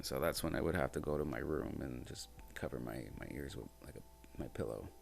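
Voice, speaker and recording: A man talks at a fairly quick pace in a very deep, low voice with ordinary pitch variation. Music plays behind him, and the room echo is audible. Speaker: podcast host and musician. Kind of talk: casual monologue. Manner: naturally loud.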